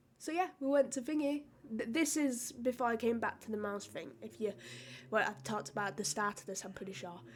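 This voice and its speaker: A woman with a British accent talks at a fairly quick pace. Her voice is high, with ordinary pitch variation. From United Kingdom. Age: young. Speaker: streamer and content creator. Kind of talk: casual podcast talk. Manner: casual, chatty.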